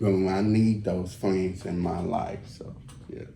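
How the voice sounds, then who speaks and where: A man with an American accent speaks at a very slow pace. Noticeable background noise and audible room echo surround him. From Texas, Fort Worth. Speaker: podcast host. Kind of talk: casual chat.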